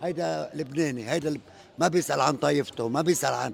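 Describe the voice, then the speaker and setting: This is a man speaking. He talks with a Lebanese accent. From Lebanon. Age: 70s. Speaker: interviewee in street interview. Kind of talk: street interview.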